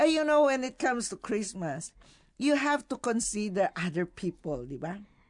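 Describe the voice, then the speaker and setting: Against a quiet background, a woman with a fairly high pitch talks at a moderate pace, her pitch swinging very widely. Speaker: radio host. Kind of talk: casual chat. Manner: animated, laughing often.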